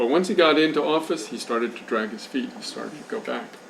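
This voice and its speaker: With ordinary pitch variation, a man talks amid noticeable background noise and audible room echo. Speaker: journalist and speaker on Haiti. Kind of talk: lecture.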